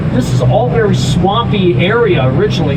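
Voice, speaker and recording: Male speech amid noticeable background noise and audible room echo. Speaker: tour guide. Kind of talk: guided tour narration. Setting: outdoors on a tour boat. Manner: stumbling over words.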